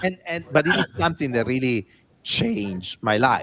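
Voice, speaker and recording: A man with an Italian accent speaks at a fairly high pitch with lively intonation. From Italy. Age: 40s. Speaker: design executive and author. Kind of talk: interview storytelling.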